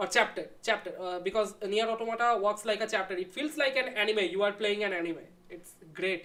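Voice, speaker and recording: A woman speaks in a Bengali accent at a fairly quick pace. Her voice sits at medium pitch with ordinary pitch variation. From India, Bengal. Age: 20s. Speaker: YouTuber discussing philosophy. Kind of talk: live stream Q&A with chat. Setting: live stream at home. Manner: casual, relaxed.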